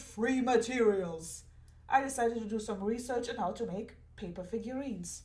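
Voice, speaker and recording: Audible room echo surrounds a woman whose voice sits at a fairly high pitch. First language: not English. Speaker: artist and crafter. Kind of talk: scripted narration. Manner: dramatic.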